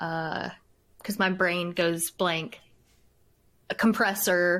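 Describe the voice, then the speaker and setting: In a very clean recording with a silent background, a woman is speaking. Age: 20s. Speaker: streamer. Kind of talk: casual chat. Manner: soft-spoken.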